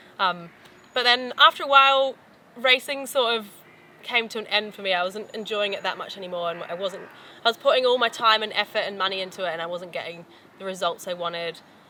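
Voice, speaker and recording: Delivered at a very fast pace, the speech has ordinary pitch variation and big swings in loudness over noticeable background noise. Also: woman, medium pitch for a woman. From New Zealand. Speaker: professional mountain biker. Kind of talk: casual promotional talk. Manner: casual, hesitant with fillers.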